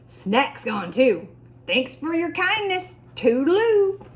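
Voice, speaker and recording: Putting on a character voice, a woman speaks at a fairly slow pace in a high pitch with very wide pitch swings. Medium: read story. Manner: clipped, breezy.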